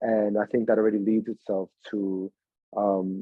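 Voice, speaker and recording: With a Spanish accent, a man speaks at a fairly low pitch. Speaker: actor. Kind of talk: interview. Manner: animated.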